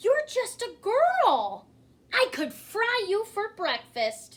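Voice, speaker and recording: A woman puts on a character voice at an extremely high pitch. She speaks at a very slow pace. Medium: read story. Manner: soft, timid.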